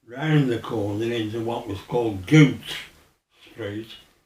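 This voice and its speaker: Audible room echo surrounds a man speaking at a very slow pace. His pitch varies in an ordinary way. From Birmingham, Balsall Heath. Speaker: oral history interviewee. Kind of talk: oral history interview. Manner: halting.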